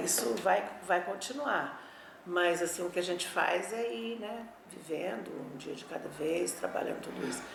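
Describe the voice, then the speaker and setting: The speech moves at a fairly slow pace. Room echo is audible, and background noise is noticeable. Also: woman. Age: 60s. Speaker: former political activist. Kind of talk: oral history testimony. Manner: halting.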